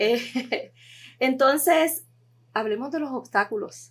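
The woman talks extremely slowly. Nothing else can be heard, and the audio is spotless. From Puerto Rico. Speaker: podcast host. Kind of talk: interview.

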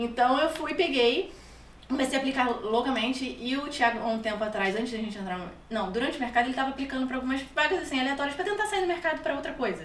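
With a Rio de Janeiro accent, a woman talks at a very fast pace in a high pitch with lively intonation, amid noticeable background noise and audible room echo. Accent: carioca. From Rio de Janeiro, Brazil. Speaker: immigrant guest. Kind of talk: casual interview.

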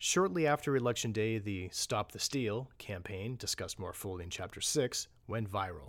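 A man with an unremarkable speaking voice and fairly low pitch talks at a moderate pace with lively intonation and hardly any pauses, on a very clean recording with a silent background. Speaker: narrator reading report aloud. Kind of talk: formal newsreading of a government report. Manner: formal, measured, steady and authoritative.

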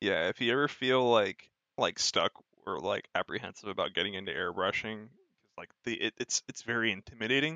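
This man has an unremarkable speaking voice and an American accent, with a medium pitch and ordinary pitch variation. He talks at a fairly quick pace with big swings in loudness. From United States. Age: 20s. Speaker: model kit builder and streamer. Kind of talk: casual chat.

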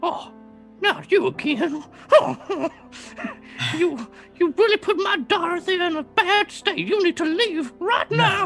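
Over clear music in the background, a man puts on a character voice at a fairly slow pace with long, frequent pauses. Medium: actual play. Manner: cranky, threatening, protective.

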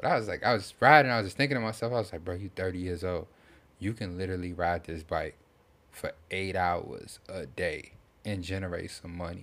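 Over a silent background in a very clean recording, a man speaks fairly quickly at a very deep, low pitch. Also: ordinary pitch variation. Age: 30s. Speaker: podcast host. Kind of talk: casual chat.

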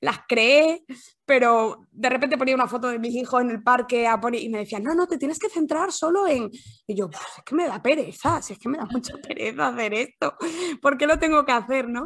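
With a high pitch and lively intonation, a woman speaks at a moderate pace. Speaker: copywriter, former journalist. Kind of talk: interview.

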